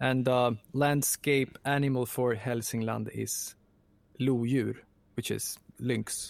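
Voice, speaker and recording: A man with a Swedish accent, very slow and monotone, flat in intonation, with long, frequent pauses. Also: medium pitch for a man. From Sweden. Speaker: composer and voice actor. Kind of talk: interview. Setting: home production room.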